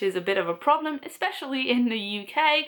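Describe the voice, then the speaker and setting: Her voice is high-pitched, and this woman sounds animated. Her intonation is lively throughout. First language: French. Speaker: book vlogger. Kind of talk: casual vlog talk.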